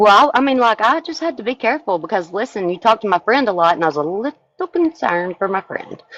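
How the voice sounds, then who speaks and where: A woman with an American accent speaks at a very fast pace and a fairly high pitch, with very wide pitch swings. The sound is dry and close, with no echo. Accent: Southern US accent, varies with company. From Arkansas. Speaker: live-stream chat participant. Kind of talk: casual chat. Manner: chatty.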